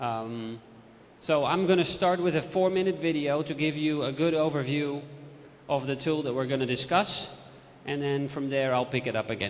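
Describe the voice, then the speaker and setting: Ordinary pitch variation in a Dutch accent, with audible room echo. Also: man, fairly high pitch for a man, moderate pace. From Netherlands. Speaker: literacy and ICT expert. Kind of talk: presentation. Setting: lecture theatre with audience.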